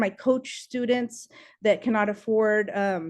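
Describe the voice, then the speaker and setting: Over a quiet background, a woman with a fairly high pitch speaks at a moderate pace. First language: Spanish. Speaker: political candidate. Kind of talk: campaign speech.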